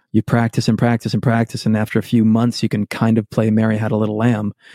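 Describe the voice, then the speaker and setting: In an American accent, a man speaks at a medium pitch and fairly quick pace. The recording is very clean, dry, and close, with no echo and a silent background. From Massachusetts, Worcester area. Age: 40s. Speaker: musician. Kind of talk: casual chat.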